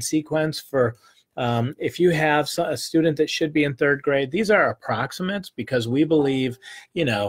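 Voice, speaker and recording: A man speaks with a somewhat breathy, fairly high voice at a moderate pace. His pitch varies in an ordinary way, and the sound is dry and close, with no echo. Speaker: publishing company representative presenting a catalog. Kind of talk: casual product presentation video.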